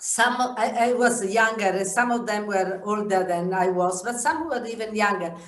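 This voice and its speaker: The voice shows ordinary pitch variation, with audible room echo around it. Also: woman. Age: 70s. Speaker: yoga teacher. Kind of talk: interview. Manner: halting.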